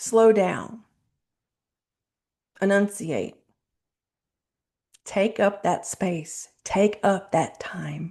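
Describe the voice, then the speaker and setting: Speaking at a very slow pace with long, frequent pauses, a woman with a medium-pitched, dark, mellow tone and vocal fry keeps her intonation fairly even. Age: 40s. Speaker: self-help video host. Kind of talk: motivational talk to camera. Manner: mumbling; casual, conversational.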